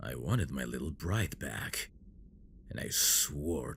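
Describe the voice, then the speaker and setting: Over clear background noise, a man puts on a character voice and speaks at a fairly slow pace. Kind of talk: audio roleplay.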